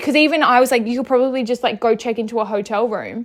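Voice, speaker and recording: In an Australian accent, a woman with a high voice talks very fast in an animated tone, her pitch varying in an ordinary way. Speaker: podcast host. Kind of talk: casual chat. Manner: loud and outspoken; animated, rambling fillers.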